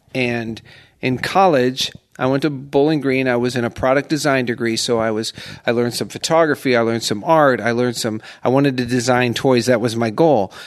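A man with an American accent has a plain, everyday voice at a medium pitch. He talks at a fairly quick pace with fairly even intonation. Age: 50s. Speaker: senior portrait photographer. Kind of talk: casual interview chat. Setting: recording in a condo.

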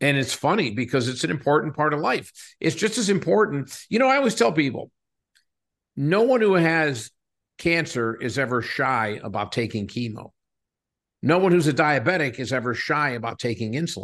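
With an American accent, a man with a fairly high pitch speaks at a moderate pace and lively intonation. He has an ordinary speaking voice against a quiet background. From Western Pennsylvania, coal town south of Pittsburgh. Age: 60s. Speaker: company CEO. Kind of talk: interview conversation.

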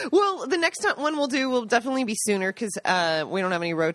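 Over noticeable background noise, a woman speaks very fast with very wide pitch swings. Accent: American. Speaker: podcast co-host, agriturismo owner. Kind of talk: casual chat.

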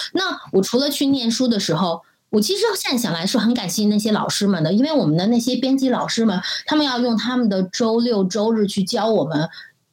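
A woman with a plain, everyday voice talks at a moderate pace, her fairly high pitch carried by lively intonation. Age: 40s. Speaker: marketing director. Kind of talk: interview conversation.

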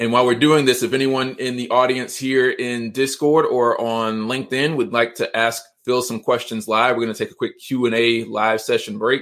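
With an American accent and fairly even intonation, a man talks in an ordinary speaking voice. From Georgia, US (Atlanta area). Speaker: podcast host. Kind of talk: interview / live-streamed podcast chat. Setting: livestream / online call. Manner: fast.

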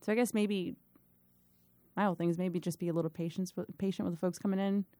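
A woman with an American accent talks very fast at medium pitch, in a dark, mellow tone with fairly even intonation. The recording is very clean with a silent background, dry and close with no echo. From Miami, Florida. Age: young. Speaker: firefighter paramedic, former teacher. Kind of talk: interview, casual storytelling.

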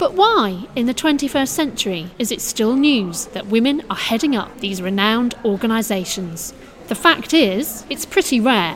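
Lively intonation marks a woman's fairly high voice. She keeps a moderate pace over noticeable background noise. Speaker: podcast host. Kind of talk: interview. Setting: recorded in a gallery reception.

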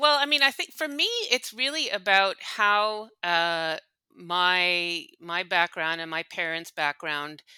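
In a Montreal accent, a woman talks with a bright, sharp tone, fairly low pitch and lively intonation, the sound dry and close with no echo. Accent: Montreal anglophone Canadian English. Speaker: company executive. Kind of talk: interview. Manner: hesitant with many fillers.

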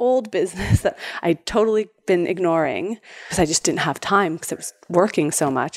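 With a Canadian accent and ordinary pitch variation, this is an ordinary speaking voice. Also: woman. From Canada. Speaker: entrepreneur. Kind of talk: interview.

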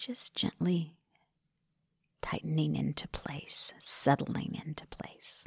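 Whispering at a very slow pace, the voice has a calm, soothing tone. Long pauses come often. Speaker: meditation guide podcast host. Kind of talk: guided meditation. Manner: slow, calm, soothing, unhurried with gentle pauses; soft-spoken, instructional.

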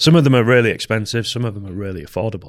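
A Yorkshire accent on a very clean recording with a silent background. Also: man. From Yorkshire, northern England. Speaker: hunter. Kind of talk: casual chat. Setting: studio.

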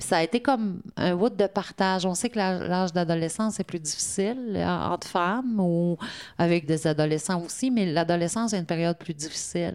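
A woman with a fairly low pitch talks at a moderate pace in a normal speaking voice. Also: ordinary pitch variation, big swings in loudness. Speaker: women's centre worker. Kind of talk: interview testimony.

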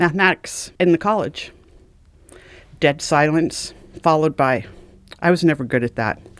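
This woman's voice sits very deep and low, with lively intonation. The recording is very clean, with a silent background. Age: 60s. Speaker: retired mortuary director. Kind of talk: casual chat.

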